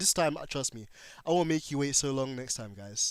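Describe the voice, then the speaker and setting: Over a silent background in a very clean recording, a man speaks with a British accent. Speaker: gaming livestreamer. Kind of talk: casual livestream chat reading comments. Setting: livestream.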